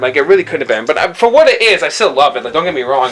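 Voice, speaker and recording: Here a man is speaking. Noticeable background noise can be heard. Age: 20s. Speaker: video game console reviewer. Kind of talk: casual video review. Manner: halting, many fillers and repetitions.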